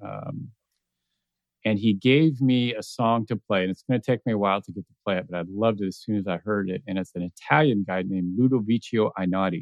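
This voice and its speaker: A man with an unremarkable speaking voice talks fairly quickly at a fairly low pitch, with ordinary pitch variation and big swings in loudness. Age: 50s. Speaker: podcast host. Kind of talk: casual chat.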